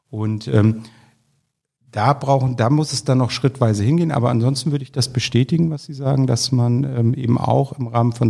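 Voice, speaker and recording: A man with a dark, mellow, somewhat breathy tone speaks at a medium pitch and moderate pace with fairly even intonation. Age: 50s. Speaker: public health office director. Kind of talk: interview.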